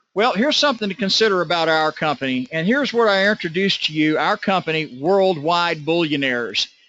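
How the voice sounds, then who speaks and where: A very fast-talking man with ordinary pitch variation. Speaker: network marketing presenter. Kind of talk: sales pitch.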